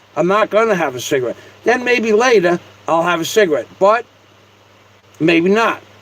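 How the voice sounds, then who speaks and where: Against noticeable background noise, a man speaks with high pitch and lively intonation. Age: 60s. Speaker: live streamer. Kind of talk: casual live-stream monologue. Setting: live stream, seated at home. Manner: repetitive, stammering starts.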